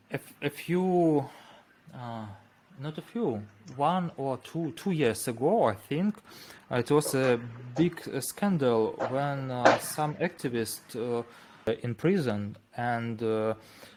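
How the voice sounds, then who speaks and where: A man with a Russian accent speaks at medium pitch and a very slow pace, with long, frequent pauses. His intonation is lively. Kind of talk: interview. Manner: halting.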